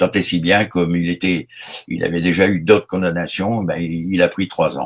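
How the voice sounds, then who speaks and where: In a dry, close sound with no echo, a man talks at a moderate pace with a very deep, low pitch and monotone, flat intonation. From Brittany, France. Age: 70s. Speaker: retired gendarme. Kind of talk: interview. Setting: online live show. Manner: hesitant, many fillers.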